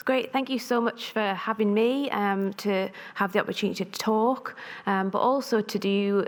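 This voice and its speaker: At a moderate pace, a woman with a North East England accent talks in a medium pitch with ordinary pitch variation. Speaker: pharmacist and researcher. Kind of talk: conference talk.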